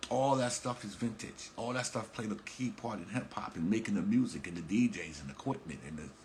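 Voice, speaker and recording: A man with a New York accent, vocal fry, lively intonation and a fairly quick pace. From New York, the Bronx. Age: 60s. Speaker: hip hop promoter and podcast host. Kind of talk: casual talk on a livestream. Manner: halting, repeats words.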